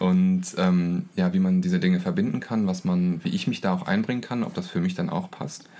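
Noticeable background noise runs behind a man speaking at a moderate pace. He leaves hardly any pauses. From East Frisia, northern Germany. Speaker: school social worker. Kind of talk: interview.

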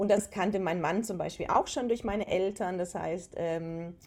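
A woman with an ordinary speaking voice talks at a moderate pace with fairly even intonation. The recording is very clean, with a silent background. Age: 40s. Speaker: aroma and wellness consultant. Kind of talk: casual interview.

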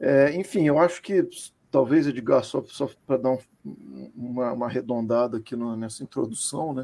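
A man's medium-pitched voice with a dark, mellow tone, ordinary pitch variation, and a moderate pace. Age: 40s. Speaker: football club commentator. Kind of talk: casual chat.

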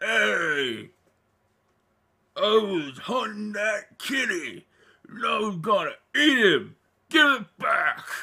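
In a put-on character voice, a man speaks with a high pitch. His delivery is very slow, with long, frequent pauses. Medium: actual play. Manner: crude, demanding, childish anger.

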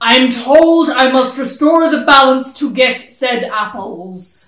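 Someone puts on a character voice, high in pitch and fairly slow, with a slight echo around it. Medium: actual play. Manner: gruff, grumbling, distracted.

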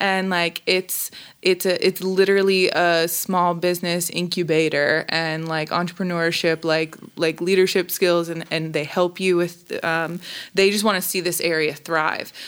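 A woman's fairly low, monotone, flat voice at a fairly slow pace, in a very clean recording with a silent background. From Tennessee, Hendersonville. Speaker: baker and small business owner. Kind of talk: casual interview.

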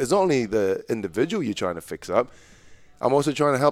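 A man talks very fast in a New Zealand accent, his pitch fairly high. The sound is dry and close, with no echo. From Malaysia (Kuala Lumpur) then New Zealand. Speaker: basketball coach. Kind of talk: casual interview chat.

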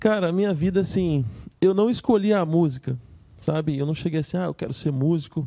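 The man's voice has a dark, mellow tone and lively intonation, and he moves at a fairly quick pace. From Espírito Santo, Brazil. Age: 30s. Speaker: music producer and musician. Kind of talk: casual interview chat.

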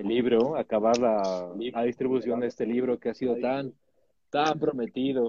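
A man talks at a fairly slow pace with a dark, mellow tone and fairly even intonation. The sound is dry and close, with no echo. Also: medium pitch for a man. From Mexico. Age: 30s. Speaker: poet. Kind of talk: casual chat. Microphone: connection drops.

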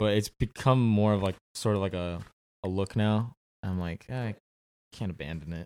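Speaking with an American accent, a man with fairly low pitch and ordinary pitch variation keeps a moderate pace. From Southern California, Orange County. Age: 20s. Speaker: actor. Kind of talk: casual chat.

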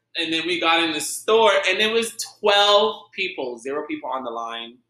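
A man's high-pitched, raised and projected voice, bright and sharp in tone, animated, with very wide pitch swings at a moderate pace. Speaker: podcaster telling personal stories. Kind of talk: casual storytelling. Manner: animated, laughing.

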